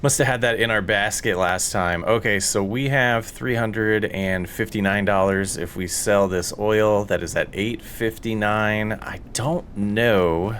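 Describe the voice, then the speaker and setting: A man's fairly low voice at a fairly slow pace, with hardly any pauses, fairly even intonation and noticeable background noise. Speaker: gaming YouTuber. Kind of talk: gameplay commentary. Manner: loud; laid-back.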